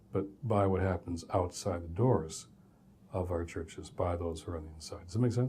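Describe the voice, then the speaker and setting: A man with an American accent speaks in a dark, mellow tone that is somewhat breathy. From US Midwest, Detroit, Michigan. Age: 60s. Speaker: professor. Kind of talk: lecture.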